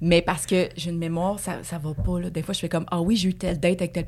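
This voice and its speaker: In a Quebec accent, a woman talks at a very fast pace with a fairly low voice. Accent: Québécois French. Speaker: dancer and actress. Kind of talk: casual chat.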